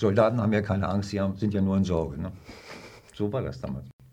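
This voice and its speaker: A dark, mellow tone sounds through audible room echo. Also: man. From northern Germany, Hannover. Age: 70s. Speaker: retired army officer. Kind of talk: interview, personal recollection. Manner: halting, with many fillers.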